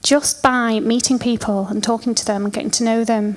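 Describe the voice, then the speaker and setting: A woman speaks in a Lancashire accent at a fairly high pitch. She keeps a moderate pace. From Lancashire, northern England. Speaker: event organiser. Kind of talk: conference talk. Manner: animated.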